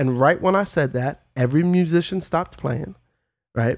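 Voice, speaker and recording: On a very clean recording with a silent background, a man with an American accent and an unremarkable speaking voice talks at a fairly high pitch and moderate pace with ordinary pitch variation. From New York City (Brooklyn, Red Hook). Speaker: musician and producer. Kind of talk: casual chat.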